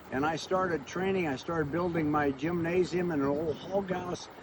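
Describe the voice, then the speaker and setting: Over noticeable background noise, a man speaks with a high pitch and fairly even intonation. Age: 80s+. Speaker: pastor and motivational speaker. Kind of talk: motivational talk.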